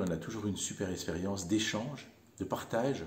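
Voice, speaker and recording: Here a man speaks with a dark, mellow tone at a fairly low pitch and ordinary pitch variation. Audible room echo is present. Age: 60s. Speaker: volunteer bike mechanic. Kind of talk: interview monologue. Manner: hesitant, many fillers.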